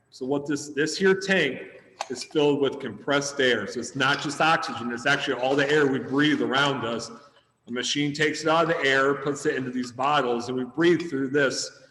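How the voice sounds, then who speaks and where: An American accent at a fairly quick pace, with fairly even intonation and audible room echo. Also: man, fairly high pitch for a man. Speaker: firefighter. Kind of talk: demonstration. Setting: video webinar from firehouse. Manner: casual.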